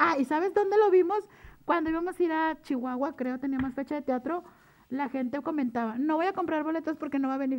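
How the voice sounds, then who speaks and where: Fairly quick, high-pitched speech from a woman, with ordinary pitch variation. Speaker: drag performer and mascot character. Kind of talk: casual chat. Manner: switches between character voice and normal voice; animated.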